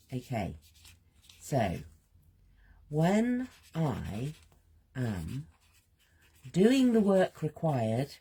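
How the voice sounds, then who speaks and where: Speaking at a very slow pace with long, frequent pauses, a woman uses a very deep, low, somewhat breathy voice with a dark, mellow tone and very wide pitch swings. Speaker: creative healing coach. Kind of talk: guided creative journaling session. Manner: soft-spoken, gentle; slow, halting.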